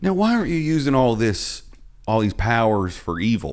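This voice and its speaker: Very wide pitch swings across a man's medium pitch. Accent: Southern US. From US South. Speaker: podcast host and comedian. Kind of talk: casual chat.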